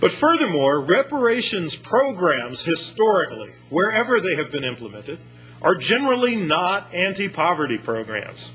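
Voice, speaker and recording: With music in the background, a man with an American accent speaks at a moderate pace in a high pitch with very wide pitch swings. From United States. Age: 50s. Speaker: economist. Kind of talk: lecture.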